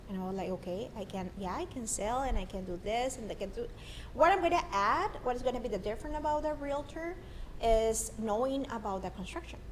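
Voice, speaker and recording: A woman with a strong Mexican accent, fairly high in pitch with very wide pitch swings, talking at a fairly quick pace amid noticeable background noise and audible room echo. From northern Mexico, Monterrey. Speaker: marketer and construction sales professional. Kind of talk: casual interview chat. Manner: animated, halting with repetitions.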